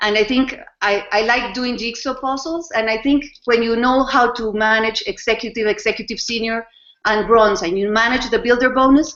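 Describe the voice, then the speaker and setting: Here a woman talks with a Spanish accent at a moderate pace. Her intonation stays fairly even. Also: fairly high pitch for a woman. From Costa Rica. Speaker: network marketing distributor. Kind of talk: testimony. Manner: halting, many fillers.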